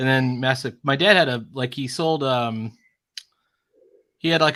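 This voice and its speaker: Speaking at a medium pitch with ordinary pitch variation, a man with an American accent has a bright, sharp tone. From US Northeast (Long Island, New York). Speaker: artist and streamer. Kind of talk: casual chat.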